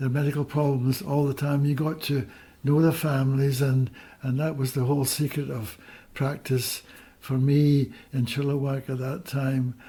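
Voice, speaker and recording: The voice has a dark, mellow tone. It sounds somewhat breathy. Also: man. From Scotland. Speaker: retired doctor. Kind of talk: interview. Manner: halting.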